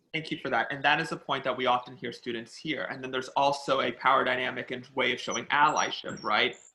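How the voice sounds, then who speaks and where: A man's very fast, flat, monotone delivery with hardly any pauses. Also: medium pitch for a man. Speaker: educator at an anti-hate advocacy group. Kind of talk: panel discussion. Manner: loud, talkative.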